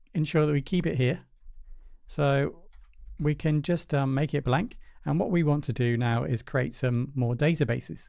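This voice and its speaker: In a British accent, a man speaks at a moderate pace with a fairly high pitch, ordinary pitch variation and a dark, mellow tone. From Britain. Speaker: programming tutor. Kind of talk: tutorial. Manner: casual, with fillers.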